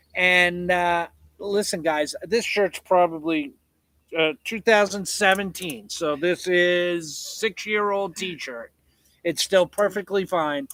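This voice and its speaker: A man speaks loudly and very slowly in a high voice. The sound is dry and close, with no echo. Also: ordinary pitch variation. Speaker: homesteader livestreamer. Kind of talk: casual live chat. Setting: livestream at home.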